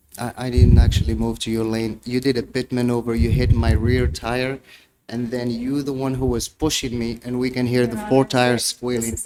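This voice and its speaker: Music plays in the background. A man speaks over it in a medium pitch. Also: ordinary pitch variation, moderate pace. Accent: non-native. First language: not English. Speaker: defendant representing himself. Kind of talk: courtroom cross-examination. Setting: courtroom.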